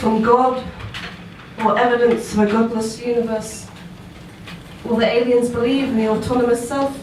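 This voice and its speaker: Soft-spoken and at a moderate pace, a woman with a high voice and a southern English accent talks in a monotone, flat way with long, frequent pauses, amid audible room echo and noticeable background noise. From southern England. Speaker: performance poet. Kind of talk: spoken word poetry performance. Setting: stage with live audience.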